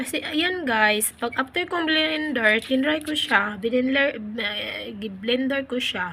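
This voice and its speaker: A woman speaks very slowly in a high, raised, projected voice with lively intonation. She leaves hardly any pauses. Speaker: vlogger. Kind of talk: casual vlog narration. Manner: hesitant, many fillers.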